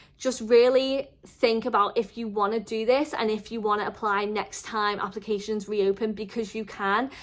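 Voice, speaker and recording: Talking at a moderate pace with hardly any pauses, a woman with a Merseyside accent has a fairly high pitch. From northern England, the Wirral near Liverpool. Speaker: vlogger. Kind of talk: casual advice vlog. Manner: chatty; animated.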